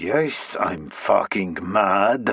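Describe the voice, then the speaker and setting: Putting on a character voice, a man growls at a fairly low pitch. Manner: angry; speaking through clenched teeth.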